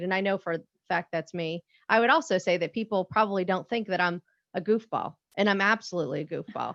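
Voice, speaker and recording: An unremarkable speaking voice with ordinary pitch variation comes through in a dry, close sound with no echo over a quiet background. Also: woman. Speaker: navy civilian workforce panelist. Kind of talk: panel discussion. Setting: webinar.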